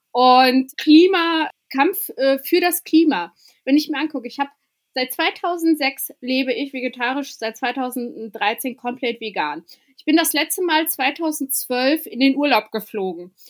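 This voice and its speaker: Her intonation is lively, with big swings in loudness. This woman's voice sits high in pitch. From Germany, village; came as refugee child at seven. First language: not German (learned German from age seven) (speaking German). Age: 30s. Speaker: activist and author. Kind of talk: interview.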